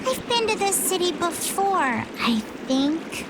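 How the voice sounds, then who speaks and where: Loud background noise runs behind this woman. She uses a put-on character voice at an extremely high pitch and a fairly slow pace. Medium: machinima.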